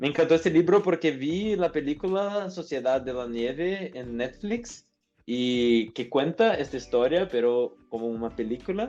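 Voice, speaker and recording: Against a quiet background, a man with a fairly high pitch makes very wide pitch swings at a fairly slow pace. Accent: Portuguese. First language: Portuguese (speaking Spanish). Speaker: business administrator and OKR consultant. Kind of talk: podcast interview. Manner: halting with fillers.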